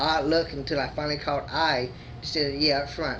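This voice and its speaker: A man at a moderate pace, with audible room echo. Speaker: video blogger. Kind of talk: casual personal vlog. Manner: halting with disfluencies.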